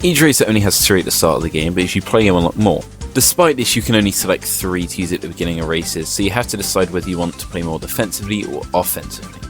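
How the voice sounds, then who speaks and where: Talking very fast with lively intonation, a man with a very deep, low pitch is heard over music in the background. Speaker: game reviewer. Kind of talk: video game review narration.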